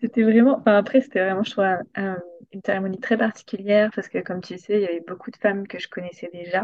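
Speaking at a very fast pace, a woman with a medium pitch keeps a fairly even intonation while her loudness swings widely. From southern France, Hérault. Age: 20s. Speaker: energy aromatherapist. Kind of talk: casual chat.

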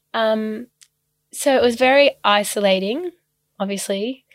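A woman with an Australian accent on a very clean recording with a silent background, in a dry, close sound with no echo. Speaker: ballet dancer. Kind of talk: casual chat.

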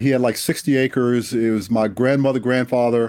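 A man with an American accent speaks at a moderate pace and medium pitch, his dark, mellow tone carrying fairly even intonation on a very clean recording with a silent background. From Washington, D.C. (Southeast, inner city). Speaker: retired air force general and author. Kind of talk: interview.

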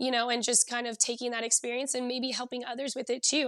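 An American woman with a high pitch speaks at a fairly quick pace in a monotone, flat intonation. The recording is very clean, with a silent background. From Southern California. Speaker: physical performance coach and former soccer player. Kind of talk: interview.

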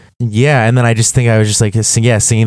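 With an American accent, a man speaks using fairly even intonation. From Los Angeles, US. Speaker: musician and songwriter. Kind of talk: casual interview chat. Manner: halting, filler-heavy.

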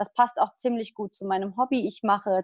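A woman speaks at a fairly quick pace in an ordinary speaking voice. The sound is dry and close with no echo, and her pitch varies in an ordinary way. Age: 20s. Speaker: triathlete and physiotherapist. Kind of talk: casual interview.

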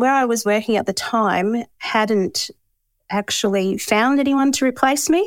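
A woman with an Australian accent speaks at a fairly high pitch. Her pace is fairly slow, with ordinary pitch variation. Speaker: bookkeeper and business owner. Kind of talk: interview.

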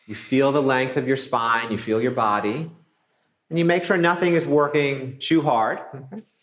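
An ordinary speaking voice from a man, medium in pitch, with ordinary pitch variation at a moderate pace. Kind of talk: guided yoga class instruction. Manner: relaxed, friendly, conversational.

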